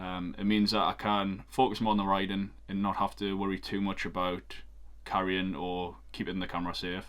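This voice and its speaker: A man's fairly low voice with a Geordie accent, at a moderate pace, with monotone, flat intonation. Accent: Geordie (Newcastle). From northeast England, Newcastle. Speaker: photographer and cycling vlogger. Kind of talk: casual vlog. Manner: hesitant, many filler ums.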